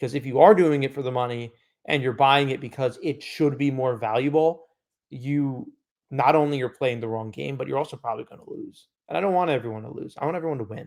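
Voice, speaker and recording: Talking at a very fast pace, a man with a fairly high pitch shows ordinary pitch variation and big swings in loudness. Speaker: sports card podcast co-host. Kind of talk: casual chat.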